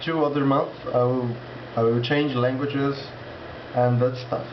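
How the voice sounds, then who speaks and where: A man speaks at a medium pitch and a fairly slow pace. Audible room echo and noticeable background noise surround him. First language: Portuguese. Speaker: language learner vlogger. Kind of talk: casual vlog monologue. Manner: halting, with many restarts.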